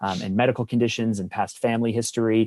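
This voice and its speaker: A man with a fairly low pitch talks at a very fast pace. The sound is dry and close with no echo, over a quiet background. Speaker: podcast co-host. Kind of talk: casual chat. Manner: animated.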